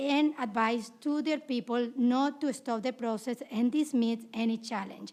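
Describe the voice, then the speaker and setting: This high-pitched voice belongs to a woman. Its pitch rises and falls in an ordinary way. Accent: Latin American. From South America. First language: Spanish. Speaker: poll challenger testifying at hearing. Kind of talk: testimony. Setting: legislative committee hearing.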